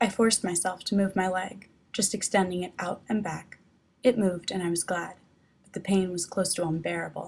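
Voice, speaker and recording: Somewhat breathy, a woman at medium pitch speaks at a fairly quick pace with fairly even intonation. Her loudness swings widely. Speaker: author reading her own novel, not a professional narrator. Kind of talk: audiobook narration of a novel chapter.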